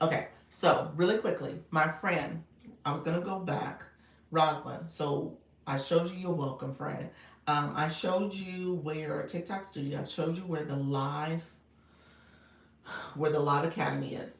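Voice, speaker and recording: In a raspy put-on character voice at a middle pitch, the speaker keeps a moderate pace broken by long, frequent pauses. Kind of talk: livestream tutorial.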